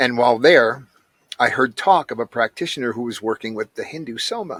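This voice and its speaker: In an ordinary speaking voice, a man talks at a medium pitch with ordinary pitch variation, the sound dry and close with no echo. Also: fairly quick pace, big swings in loudness. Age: 60s. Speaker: ayahuasca practitioner, recovering addict. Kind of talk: interview, personal testimony.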